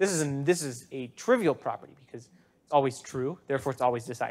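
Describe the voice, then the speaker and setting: Very fast pace from a man, pitch variation ordinary. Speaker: university lecturer. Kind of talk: lecture. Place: classroom. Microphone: lapel.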